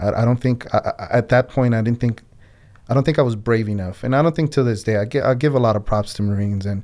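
On a very clean recording with a silent background, a man speaks in a dark, mellow tone. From Colombia-born, raised in US (New Jersey area). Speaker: Navy veteran. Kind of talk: interview conversation. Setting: on-location recording in Philadelphia. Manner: halting, frequent repetitions.

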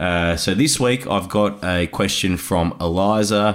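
A man is speaking. He has an Australian accent. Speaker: podcast host. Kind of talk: casual chat; interview.

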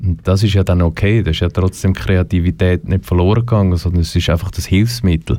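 Very deep and low, a man's voice carries a dark, mellow tone with very even loudness. He moves at a fairly quick pace with hardly any pauses. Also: ordinary pitch variation. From Switzerland, German parents. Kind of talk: interview.

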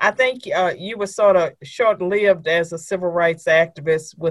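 Here is a woman speaking. She has a normal speaking voice with ordinary pitch variation. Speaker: podcast host. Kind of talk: interview.

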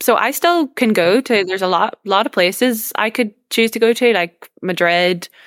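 A woman with a Northern Irish accent at a moderate pace, ordinary pitch variation, dry, close sound with no echo. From Northern Ireland. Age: 20s. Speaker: young political activist and university student. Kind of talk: interview conversation.

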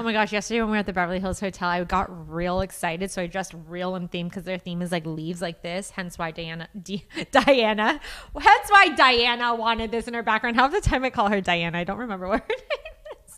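A woman of medium pitch talks very fast with ordinary pitch variation over noticeable background noise. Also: big swings in loudness. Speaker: podcast co-host. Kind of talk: casual banter. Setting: live webcast.

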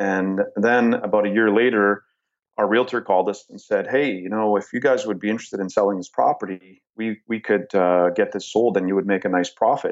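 In a Canadian accent, a man with an ordinary speaking voice talks at a fairly quick pace, his pitch fairly low and his intonation fairly even. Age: 40s. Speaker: real estate investor. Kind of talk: interview.

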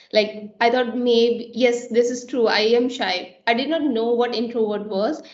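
A woman's monotone, flat delivery amid noticeable background noise and audible room echo. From India. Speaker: software engineer. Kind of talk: panel discussion.

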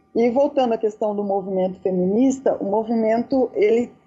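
A woman's fairly high voice with ordinary pitch variation, at a moderate pace, over noticeable background noise. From Brazil, Dourados, Mato Grosso do Sul. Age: 40s. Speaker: university professor and activist. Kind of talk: casual chat.

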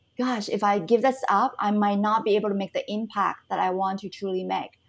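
A woman speaks in a normal speaking voice at a fairly high pitch and moderate pace. Her intonation is fairly even, and the recording is very clean with a silent background. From Canada. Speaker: entrepreneur and business mentor. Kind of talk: interview conversation.

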